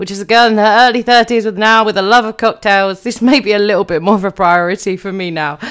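A woman speaks with a British accent at medium pitch. Her pitch moves in an ordinary way. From UK. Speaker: podcast host. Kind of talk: solo podcast talk.

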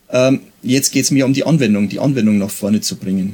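A man's voice at medium pitch. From Bavaria, Pfarrkirchen region. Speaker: police officer and historical fencing instructor. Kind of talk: interview.

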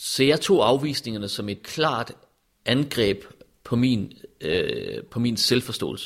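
This man talks at a very slow pace, his medium pitch moving with ordinary variation. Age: 40s. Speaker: interviewee. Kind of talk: personal testimony. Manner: halting.

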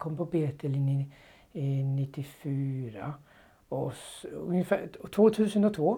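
A man with a Danish accent, a dark, mellow tone and lively intonation, on a very clean recording with a silent background. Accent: Danish accent in Swedish. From Denmark. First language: Danish (speaking Swedish). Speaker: former Bible translator. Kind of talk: interview testimony. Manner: halting.

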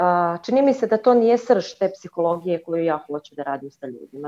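A woman speaks at a moderate pace and a medium pitch. Her tone is dark and mellow. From Croatia. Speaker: caller, cleaner. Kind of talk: call-in conversation. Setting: video call.

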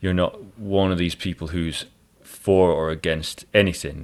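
In a Scottish accent, a man speaks at a fairly slow pace with a very deep, low pitch. The recording is very clean, with a silent background. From Scotland. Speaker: jazz violinist and podcast host. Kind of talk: casual interview chat.

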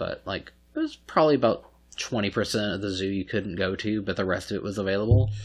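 A man at a very fast pace, with a fairly low pitch and fairly even intonation, and music in the background. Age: 30s. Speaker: podcast host. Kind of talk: casual chat. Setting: recording at a friend's home.

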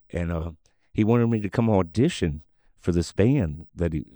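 With a Gulf Coast accent, a man speaks at a moderate pace using lively intonation. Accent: US Southern (Gulf Coast). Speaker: singer and former bar owner. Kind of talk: casual interview storytelling. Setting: studio.

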